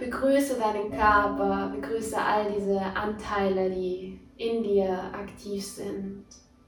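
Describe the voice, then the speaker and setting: Music plays behind a woman of medium pitch with a warm, calm tone. She speaks very slowly, with ordinary pitch variation. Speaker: podcast host and meditation guide. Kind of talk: guided meditation. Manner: slow, soft, soothing; warm, calm, dreamy.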